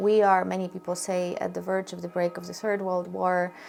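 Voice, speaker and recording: Music plays in the background as a woman talks. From Ukraine. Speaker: interviewer. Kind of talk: interview.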